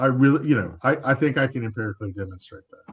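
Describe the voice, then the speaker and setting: Fairly quick and lively in intonation, a man with an American accent sounds somewhat breathy. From Los Angeles, US West Coast. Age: 60s. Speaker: public health researcher. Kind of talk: panel discussion. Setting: web forum. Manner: halting, many fillers and repeats.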